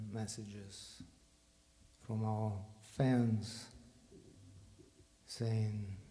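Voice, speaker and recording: In a Russian accent, a man with a medium pitch speaks very slowly in a flat monotone, with audible room echo and noticeable background noise. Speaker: bandleader. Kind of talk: stage talk to audience. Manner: halting.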